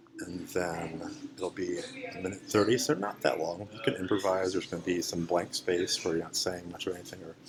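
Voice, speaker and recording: Noticeable background noise sits behind a man with a very deep, low pitch. He talks at a fairly quick pace with fairly even intonation. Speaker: English language teacher. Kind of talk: lesson demonstration.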